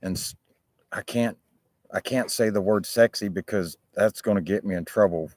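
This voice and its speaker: With fairly even intonation and a fairly low pitch, a man with an ordinary speaking voice talks at a moderate pace in a dry, close sound with no echo. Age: 50s. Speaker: livestreamer chatting with viewers. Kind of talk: casual livestream chat. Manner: casual, informal.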